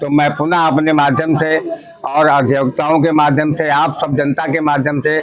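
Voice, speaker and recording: Over noticeable background noise, a man with a fairly high pitch talks at a moderate pace in a monotone, flat intonation with very even loudness. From Unnao, Uttar Pradesh, India. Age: 70s. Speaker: lawyer, election candidate. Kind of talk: interview. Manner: formal.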